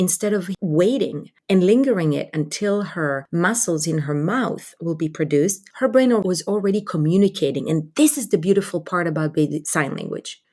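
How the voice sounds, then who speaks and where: At a moderate pace, a woman with an Israeli accent speaks in a medium pitch with a dark, mellow tone and lively intonation. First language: Hebrew. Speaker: pediatric communication advocate. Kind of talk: podcast interview. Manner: animated.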